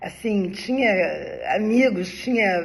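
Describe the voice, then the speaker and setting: A woman speaks at a very slow pace. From Brazil, Rio de Janeiro (Ipanema). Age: 70s. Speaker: personal storyteller, former spiritist. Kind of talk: personal life story monologue. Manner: conversational, informal.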